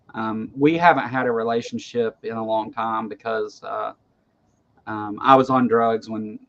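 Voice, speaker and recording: Speaking with a Kentucky accent, a man keeps a medium pitch and a moderate pace in a monotone, flat intonation. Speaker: online talk show host. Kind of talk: casual chat. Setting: livestream video call. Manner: halting, frequent repetitions.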